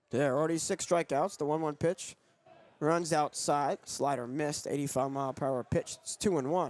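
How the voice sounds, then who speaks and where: A man's plain, everyday voice, fairly high in pitch, at a moderate pace with fairly even intonation, on a very clean recording with a silent background. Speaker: sportscaster. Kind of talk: radio baseball play-by-play.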